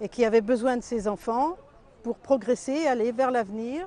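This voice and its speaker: Her pitch sits fairly high for a woman. She talks at a fairly slow pace. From France. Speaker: doctor. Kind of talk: interview testimony.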